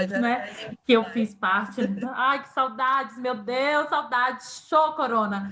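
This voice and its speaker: A woman's high-pitched voice at a very slow pace. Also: ordinary pitch variation. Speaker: podcast host. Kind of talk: podcast interview conversation.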